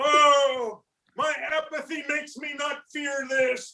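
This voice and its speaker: A man talks in a put-on character voice at an extremely high pitch. His delivery is fairly slow, with monotone, flat intonation. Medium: game stream. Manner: rambling, deadpan.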